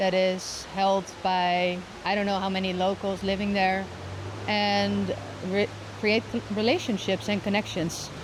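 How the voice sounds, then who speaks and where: A woman's monotone, flat delivery at a fairly slow pace, very even in loudness, against noticeable background noise. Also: medium pitch for a woman. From Netherlands. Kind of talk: interview answer.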